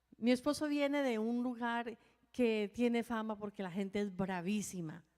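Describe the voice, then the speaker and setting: A woman's fairly high voice, an unremarkable speaking voice, at a moderate pace with ordinary pitch variation. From Colombia. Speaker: pastor's wife, co-preacher. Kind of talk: sermon.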